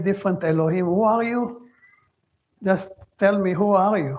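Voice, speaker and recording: A man with a non-native accent speaks at a moderate pace with fairly even intonation. Audible room echo surrounds his voice. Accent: foreign accent, lighter than new immigrants'. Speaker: Torah teacher. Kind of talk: lecture. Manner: halting.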